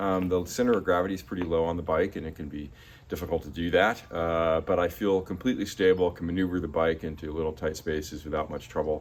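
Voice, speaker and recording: A man talks at a very fast pace with hardly any pauses. His pitch is very deep and low. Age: 60s. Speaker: recumbent cyclist reviewing his bike. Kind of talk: casual video review. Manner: hesitant, many fillers.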